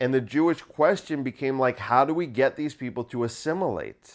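A man with a plain, everyday voice, medium pitch, ordinary pitch variation and a moderate pace, on a very clean recording with a silent background. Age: 30s. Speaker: solo podcaster and comedian. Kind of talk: casual solo monologue. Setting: at home in apartment.

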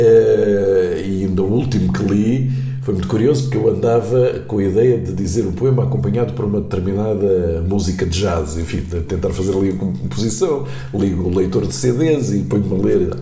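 With lively intonation and a fairly low pitch, a man speaks at a moderate pace amid noticeable background noise and audible room echo. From Angola (Luanda). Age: 60s. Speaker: journalist and poet. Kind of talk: casual interview.

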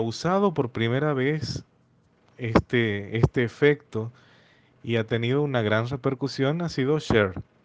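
Intonation here is lively. The words come very slowly. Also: man. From Argentina, Santiago del Estero. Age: 30s. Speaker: music teacher. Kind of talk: casual discussion.

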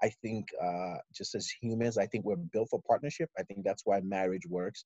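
A man's dark, mellow tone comes through with a dry, close sound and no echo. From Nigeria (Lagos, Ikeja). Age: 30s. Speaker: army officer and father. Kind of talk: interview.

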